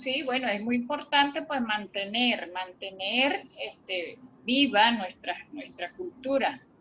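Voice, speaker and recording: A woman's high, bright, sharp voice at a very slow pace with lively intonation. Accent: Venezuelan. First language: Warao (speaking Spanish). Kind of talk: workshop discussion. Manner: halting, frequent repetitions.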